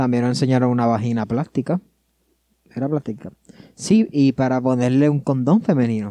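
A man's medium-pitched voice in a dark, mellow tone, with ordinary pitch variation, a moderate pace, long, frequent pauses and a dry, close sound with no echo. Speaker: podcast co-host. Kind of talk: casual chat.

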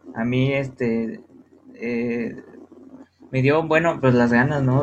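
A man at medium pitch and very slow pace, fairly even in intonation, with audible room echo and noticeable background noise. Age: 20s. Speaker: psychology student and guest lecturer on art history. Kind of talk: casual educational talk.

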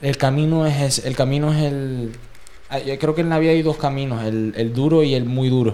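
At a medium pitch, a man talks in an ordinary speaking voice. His intonation is fairly even and his pace fairly slow. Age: 20s. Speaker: podcast host. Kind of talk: casual chat.

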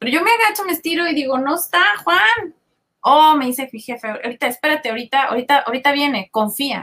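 A woman speaks at a very fast pace in a raised, projected voice. Her high pitch is bright and sharp, with very wide pitch swings. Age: 40s. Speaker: business consultant. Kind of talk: podcast interview.

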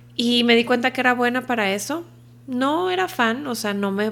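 This is a woman with an ordinary speaking voice. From Culiacán, Sinaloa, northwestern Mexico. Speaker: podcast guest, host's wife. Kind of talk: casual chat.

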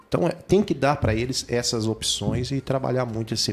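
A man speaks at a medium pitch and a fairly quick pace. Noticeable background noise runs beneath him. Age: 40s. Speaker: city councillor. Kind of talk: radio interview. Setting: radio studio.

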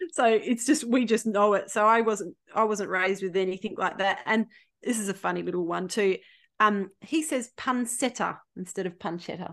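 A woman with an Australian accent talks at a moderate pace, her fairly high pitch showing ordinary variation. The background is quiet. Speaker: podcast guest. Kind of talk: casual chat.

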